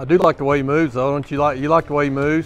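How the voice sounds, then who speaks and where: A man's voice comes through dry and echo-free, with faint music underneath. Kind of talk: casual commentary. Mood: relaxed, observant. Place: hall.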